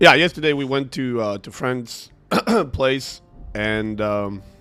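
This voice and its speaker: A man speaks with ordinary pitch variation and big swings in loudness while music plays in the background. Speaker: streamer. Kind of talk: casual chat. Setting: livestream. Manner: hesitant, many fillers.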